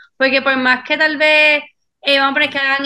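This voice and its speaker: Her tone is bright and sharp. The woman moves at a fairly quick pace. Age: 20s. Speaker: chiropractor. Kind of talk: casual chat.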